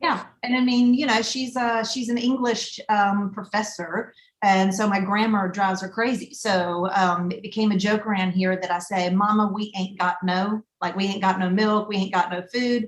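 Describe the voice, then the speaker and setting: Speaking with a strong Southern US accent, a woman of medium pitch talks at a moderate pace, somewhat breathy, with hardly any pauses and fairly even intonation. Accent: thick Southern US. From US South. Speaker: restaurant broker and food traveler. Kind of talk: casual chat.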